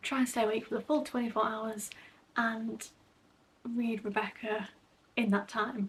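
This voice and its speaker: Whispering at a moderate pace, a woman sounds somewhat breathy, keeping very even loudness with long, frequent pauses. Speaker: book vlogger. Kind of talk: casual vlog talk to camera.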